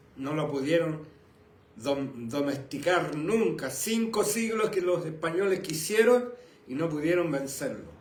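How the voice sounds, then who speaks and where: A man with a fairly high pitch talks at a fairly slow pace with lively intonation, amid noticeable background noise and audible room echo. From Chile. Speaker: pastor. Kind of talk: sermon. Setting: live stream from home and church.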